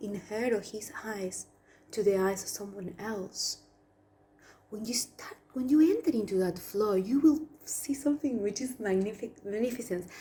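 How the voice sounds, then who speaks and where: A woman speaks at a moderate pace with a fairly high, somewhat breathy voice, a dark and mellow tone, lively intonation, and big swings in loudness. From Argentina. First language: Spanish. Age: 30s. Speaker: past life therapist. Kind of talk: spiritual talk to camera.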